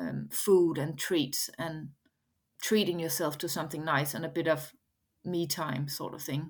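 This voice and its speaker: Recorded very cleanly against a silent background, a woman with a Danish accent speaks at a fairly slow pace with ordinary pitch variation. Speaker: head of food at a bakery chain, chef. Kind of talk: interview.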